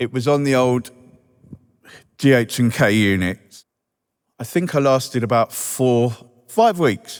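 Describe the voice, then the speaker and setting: In a Welsh accent, a man of medium pitch speaks at a fairly slow pace, with ordinary pitch variation and long, frequent pauses. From Wales. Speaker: recovery charity staff member, ex-offender. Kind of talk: recovery testimony speech. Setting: stage at reunion event with audience.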